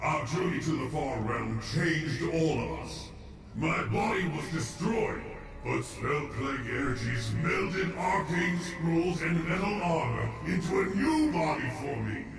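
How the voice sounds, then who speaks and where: A man's put-on character voice at a fairly slow pace, with slight echo and loud background noise. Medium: game stream. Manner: stern, commanding.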